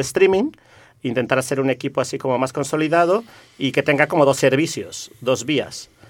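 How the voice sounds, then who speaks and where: This man speaks at a fairly quick pace with a Mexican accent. The recording is very clean, with a silent background. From Mexico. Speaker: community network activist. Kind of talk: radio interview.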